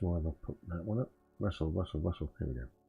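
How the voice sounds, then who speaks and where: Speaking with a British accent, a man has a very deep, low, somewhat breathy voice. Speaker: trading streamer. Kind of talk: live trading stream commentary. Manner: halting, many fillers.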